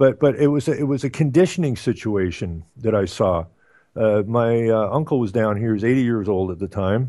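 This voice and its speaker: A man with an Ottawa Valley accent speaks fairly quickly, his medium-pitched voice carrying lively intonation. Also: quiet background. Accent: Canadian, Ottawa Valley. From Canada, Ottawa Valley. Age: 60s. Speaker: radio talk show host. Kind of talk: casual chat. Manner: halting, many fillers.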